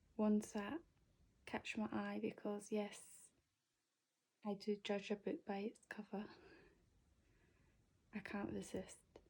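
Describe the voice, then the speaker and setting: Soft-spoken and somewhat breathy, a woman with a dark, mellow tone speaks at a fairly slow pace with fairly even intonation and long, frequent pauses. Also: medium pitch for a woman. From Scotland. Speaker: ASMR YouTuber. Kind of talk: ASMR book haul, casual talk to camera. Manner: soft-spoken, relaxing.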